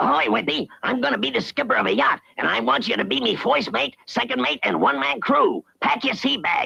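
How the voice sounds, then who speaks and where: Putting on a cartoonish character voice, a man speaks fairly high and fairly quickly, with very even loudness and hardly any pauses. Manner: ungrammatical sailor slang.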